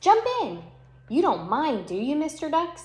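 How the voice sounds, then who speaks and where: A put-on character voice, female-sounding, high-pitched and squeaky, in the act. It swings very widely in pitch at a moderate pace. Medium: read story.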